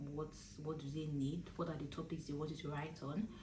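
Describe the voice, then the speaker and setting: Delivered at a moderate pace in a Nigerian accent, the speech has a monotone, flat intonation. Audible room echo and noticeable background noise are present. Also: woman. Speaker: law student and vlogger. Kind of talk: casual advice vlog. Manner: hesitant, many fillers.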